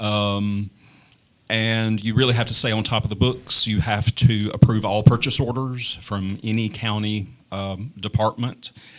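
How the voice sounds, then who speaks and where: Fairly slow, monotone, flat delivery from a man in a fairly low pitch with a Tennessee accent. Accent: Southern US (Tennessee). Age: 50s. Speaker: political candidate, former teacher. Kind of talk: candidate forum. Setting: studio with audience. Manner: hesitant, many fillers.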